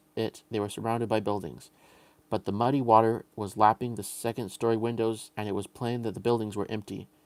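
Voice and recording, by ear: Here someone is reading aloud in a natural voice.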